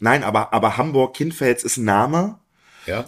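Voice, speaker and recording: In a very clean recording with a silent background, a plain, everyday voice speaks at a moderate pace. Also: man. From Harz, Saxony-Anhalt. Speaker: sommelier. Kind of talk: casual chat.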